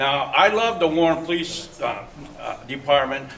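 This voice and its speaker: Through noticeable background noise and audible room echo, a man talks with an American accent at a fairly high pitch. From Michigan, Detroit area. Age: 60s. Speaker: resident speaking at town hall, Vietnam-era veteran. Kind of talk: public comment at community meeting. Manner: halting, repeats words.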